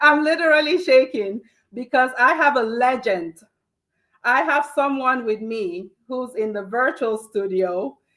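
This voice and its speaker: The voice is shouting, loud, with a bright, sharp tone at a fairly slow pace. Its intonation is lively and its tone animated. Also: woman, high pitch for a woman. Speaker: talk show host, healthcare professional. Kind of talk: live show interview intro. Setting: virtual studio, in person together. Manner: loud, shouting.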